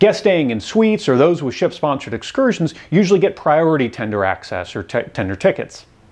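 A man talks fairly quickly, and the background around him is quiet. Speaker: travel channel host. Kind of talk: tutorial. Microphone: lapel.

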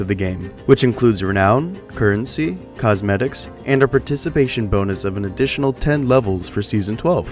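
Music plays in the background as the speaker goes at a fairly quick pace with lively intonation. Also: man. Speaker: gaming channel host. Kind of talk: game tutorial narration.

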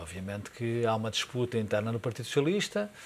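Amid light background noise, a man of medium pitch speaks at a very fast pace. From Portugal. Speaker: political commentator. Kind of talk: TV political debate. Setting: TV studio. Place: studio. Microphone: lapel.

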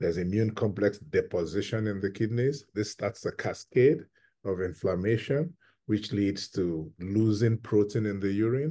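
The speaker has a dark, mellow tone, a moderate pace and ordinary pitch variation over a quiet background. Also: man, fairly low pitch for a man. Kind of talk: interview answer. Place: home room. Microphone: video call.

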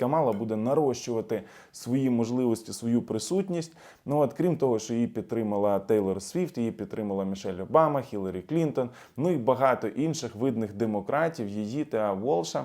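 On a very clean recording with a silent background, a man speaks with lively intonation and a dark, mellow tone. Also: medium pitch for a man, moderate pace. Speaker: political analyst and YouTube blogger. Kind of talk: video commentary. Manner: casual, filler-heavy.

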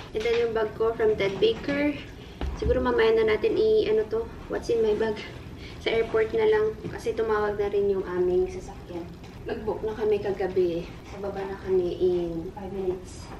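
Music plays in the background. The voice keeps a moderate pace with ordinary pitch variation. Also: woman. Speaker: vlogger. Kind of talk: casual vlog chat. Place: home room. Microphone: camera far.

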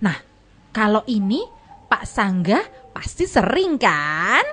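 A woman's put-on character voice, medium-pitched and fairly bright, with big pitch swings and a slow pace.

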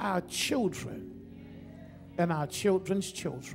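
A man is speaking with music in the background. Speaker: preacher, pastor. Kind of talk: Baptist sermon. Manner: prayerful then preaching, engaging the congregation. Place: church. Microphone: podium.

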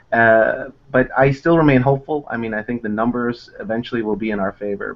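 With an American accent, a man talks at a medium pitch with ordinary pitch variation. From United States. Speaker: immigration lawyer. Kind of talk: interview. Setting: video call. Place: office. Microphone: earbuds.

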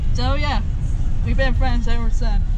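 Loud background noise fills the recording. A woman is speaking. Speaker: vlogger. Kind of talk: casual vlog chat. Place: car. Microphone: phone near.

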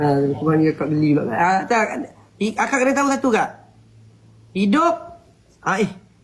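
The speech moves at a moderate pace with very wide pitch swings, long, frequent pauses and very even loudness. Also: man, high pitch for a man. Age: 20s. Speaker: TikTok live streamer. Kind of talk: casual chat.

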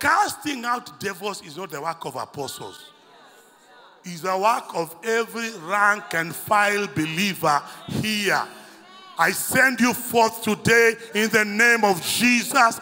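Raising and projecting his voice, a man speaks at a fairly slow pace in a high pitch with ordinary pitch variation. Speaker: preacher. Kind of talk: sermon. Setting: church. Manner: animated; call-and-response, commanding. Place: church. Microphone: handheld.

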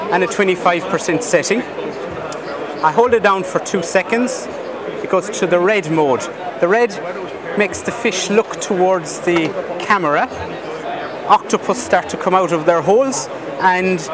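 Crowd noise sits in the background as a man talks at a fairly slow pace with ordinary pitch variation, the sound dry with no echo. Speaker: exhibitor demonstrating a product. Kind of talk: product demo. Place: hall.

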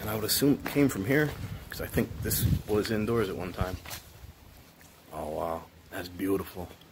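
A man's speech, with ordinary pitch variation and a moderate pace, carries over noticeable background noise. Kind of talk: casual vlog commentary. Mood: impressed, excited. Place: factory. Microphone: phone near.

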